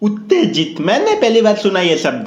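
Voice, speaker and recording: A man speaks in an animated tone. Room echo is audible. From India. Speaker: YouTuber, roast commentator. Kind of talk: comedic roast commentary over clips. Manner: animated, mocking.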